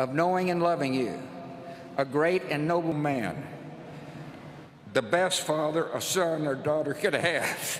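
At a fairly slow pace, a man speaks with ordinary pitch variation and long, frequent pauses, with audible room echo and light background noise. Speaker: former US president. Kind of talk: funeral eulogy. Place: church. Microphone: podium.

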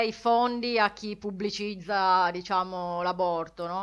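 A woman with fairly even intonation over a quiet background. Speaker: podcast co-host. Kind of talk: casual chat.

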